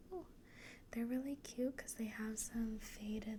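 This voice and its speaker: Clear background noise sits under speech that unfolds rather unhurriedly. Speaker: ASMR creator. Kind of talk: ASMR chit chat while sewing. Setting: sitting on a leather cube chair. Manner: soft-spoken; casual with many fillers.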